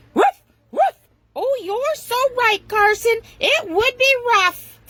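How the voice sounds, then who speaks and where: Using a put-on character voice, a woman squeaks at an extremely high pitch and a very slow pace. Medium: read story.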